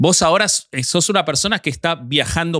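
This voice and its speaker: Recorded very cleanly against a silent background, with a dry, close sound and no echo, a man speaks at a moderate pace in a fairly high pitch with ordinary variation and a bright, sharp tone. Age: 40s. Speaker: podcast co-host. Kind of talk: casual chat.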